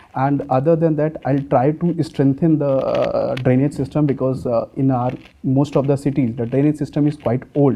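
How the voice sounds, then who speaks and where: With hardly any pauses, a man speaks at a moderate pace in a fairly high pitch, his intonation monotone and flat. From India, Uttar Pradesh. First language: Hindustani (Hindi-Urdu). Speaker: civil services exam candidate. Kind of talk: mock job interview. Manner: formal, hesitant with many fillers.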